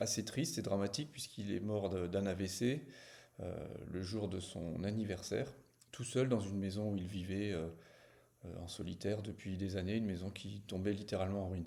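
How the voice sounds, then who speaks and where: A dark, mellow tone with ordinary pitch variation and audible room echo. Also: man, fairly low pitch for a man, moderate pace. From small village. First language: not French (speaking French). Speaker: novelist. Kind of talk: book presentation to camera. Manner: hesitant, many fillers.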